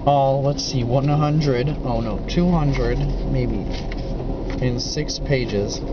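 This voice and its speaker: Loud background noise sits behind a man's voice. The sound is dry with no echo. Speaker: travel vlogger. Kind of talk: casual vlog chat. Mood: relaxed, joking. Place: train. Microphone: phone near.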